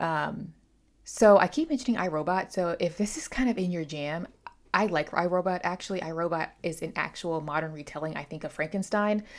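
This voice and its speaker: The voice moves at a fairly quick pace with ordinary pitch variation. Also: woman, fairly low pitch for a woman. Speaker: booktuber. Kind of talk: book review. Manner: halting; casual.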